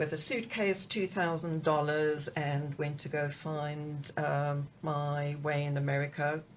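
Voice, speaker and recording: Speaking very slowly with hardly any pauses, a woman with a South African accent uses a very deep, low pitch and fairly even intonation. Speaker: executive coach. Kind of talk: interview. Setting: studio.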